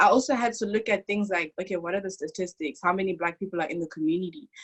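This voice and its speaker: Ordinary pitch variation with an African accent. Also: woman. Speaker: international university student. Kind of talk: testimony. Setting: video call. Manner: animated.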